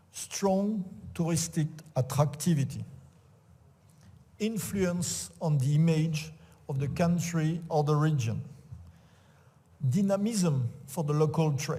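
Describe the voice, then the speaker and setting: Speaking with a French accent, a man uses a fairly high voice with a dark, mellow tone and ordinary pitch variation. His pace is very slow, with long, frequent pauses and audible room echo. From France. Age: old. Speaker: sports official and event organizer. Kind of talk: conference talk. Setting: auditorium with audience. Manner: halting, many fillers.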